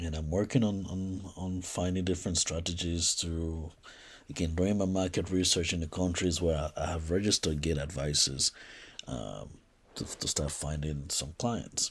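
In a very clean recording with a silent background, a man with a very deep, low pitch speaks at a moderate pace, somewhat breathy. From Liberia. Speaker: podcast host and entrepreneur. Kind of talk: solo podcast monologue. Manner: halting, many fillers.

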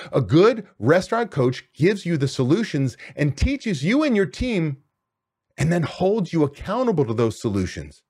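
A man speaks loudly and with energy at a moderate pace, his fairly high pitch swinging very widely, in a very clean recording with a silent background. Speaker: restaurant business coach and podcast host. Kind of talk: solo podcast monologue. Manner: energetic.

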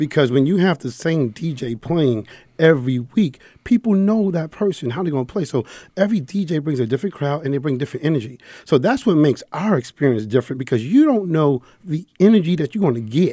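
The recording is very clean, with a silent background. A man with a New York accent speaks fairly quickly in a fairly high voice with a dark, mellow tone. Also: lively intonation. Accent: New York (Bronx). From New York, the Bronx. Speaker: sports fan club founder. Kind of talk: casual chat. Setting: studio.

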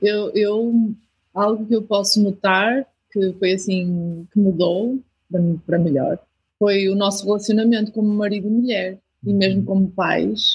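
In a European Portuguese accent, a woman speaks fairly slowly and somewhat breathily at a medium pitch, with very even loudness and fairly even intonation. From Portugal. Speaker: missionary. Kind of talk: interview.

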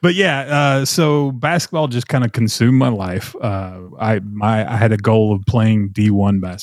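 A man's medium-pitched voice in a Tennessee accent, at a fairly slow pace with ordinary pitch variation, on a very clean recording with a silent background. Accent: Southern US (Tennessee). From Middle Tennessee, US South. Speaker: gunsmithing teacher and former TV host. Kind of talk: casual interview chat.

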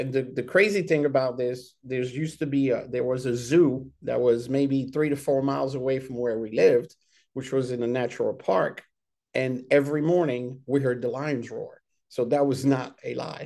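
At a moderate pace, a man speaks with a medium pitch, a dark, mellow tone and fairly even intonation. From Senegal and Ivory Coast, raised abroad by an American mother. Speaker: army veteran. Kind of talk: casual interview.

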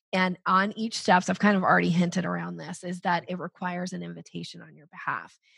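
A woman speaks at a medium pitch with vocal fry. The background is quiet. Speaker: sales coach. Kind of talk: podcast interview. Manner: upbeat, rising intonation.

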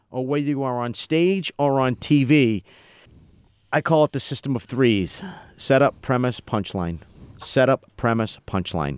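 A man's medium-pitched voice, lively in intonation, at a fairly slow pace, with dry, close sound and no echo. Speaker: radio veteran and impressionist. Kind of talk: casual chat. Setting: studio. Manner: animated.

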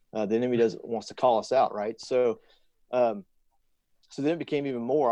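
A man's medium-pitched voice with fairly even intonation over a quiet background. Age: 40s. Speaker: military fighter pilot. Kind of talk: casual chat. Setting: call.

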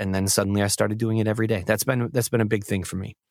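Very fast speech from a man with an American accent at medium pitch. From Syracuse, New York, US. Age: 30s. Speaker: voice-over artist. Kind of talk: interview testimony.

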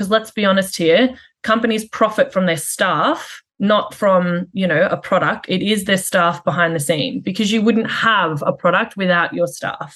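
A woman with an Australian accent, medium pitch, moderate pace and hardly any pauses. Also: ordinary pitch variation. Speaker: HR and operations executive. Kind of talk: interview. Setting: call.

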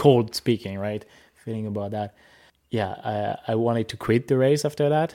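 A man with a French accent, medium pitch, ordinary pitch variation, a dark, mellow tone and a moderate pace. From France. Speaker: dog sled musher. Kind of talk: interview. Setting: on location at a kennel.

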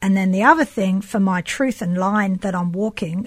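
Over a very clean recording with a silent background, a woman talks at medium pitch and a fairly quick pace. Her voice is somewhat breathy, with fairly even intonation. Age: 50s. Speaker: sculptor. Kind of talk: casual chat.

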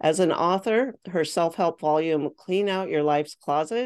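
This woman has an unremarkable speaking voice, fairly low in pitch, with ordinary pitch variation. She talks at a moderate pace against a quiet background. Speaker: podcast host. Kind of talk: casual interview chat.

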